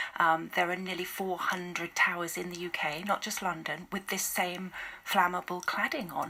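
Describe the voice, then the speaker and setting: A woman speaks at a moderate pace in a fairly low voice with fairly even intonation. Noticeable background noise runs underneath. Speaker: charity volunteer and campaigner. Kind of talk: radio interview answer.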